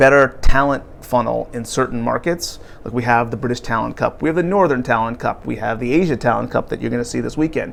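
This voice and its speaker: A man with an American accent talks very fast, with music in the background. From US, New Jersey (New York area). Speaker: sports league commercial executive. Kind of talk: interview.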